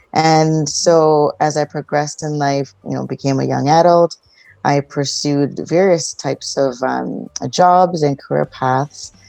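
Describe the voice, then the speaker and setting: A woman with a Canadian accent speaks in a very deep, low voice with a dark, mellow tone. Her delivery is fairly slow, with fairly even intonation. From Toronto, Canada. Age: 40s. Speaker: relationship counsellor. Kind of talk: interview.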